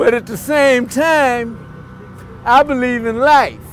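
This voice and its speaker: Over music in the background, someone speaks at a very slow pace with ordinary pitch variation. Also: man. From Los Angeles, US. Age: 60s. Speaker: former activist, speaker. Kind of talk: speech at rally. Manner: emphatic.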